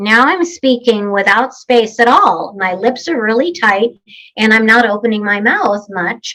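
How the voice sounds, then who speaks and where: A woman puts on a nasal character voice, pitched fairly high. She moves at a moderate pace with lively intonation. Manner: tight-lipped, barely opening mouth.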